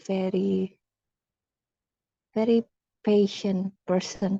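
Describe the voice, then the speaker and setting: A woman talks at a very slow pace in a medium pitch, her intonation monotone and flat. Her tone is dark and mellow, and the sound is dry and close with no echo. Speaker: speaking club member. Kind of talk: impromptu speech. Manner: halting.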